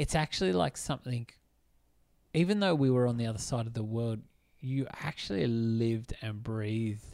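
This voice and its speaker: In a very clean recording with a silent background, a man with an Australian accent talks at a moderate pace with ordinary pitch variation and long, frequent pauses. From New South Wales, Australia. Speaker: film podcast co-host. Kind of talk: casual chat.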